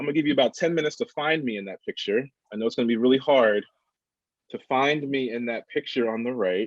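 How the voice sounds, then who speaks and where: With a mid-Atlantic accent, a man at medium pitch and ordinary pitch variation talks at a very fast pace in a dry, close sound with no echo. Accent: mid-Atlantic American. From Delaware, US. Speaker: workshop facilitator. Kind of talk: workshop presentation.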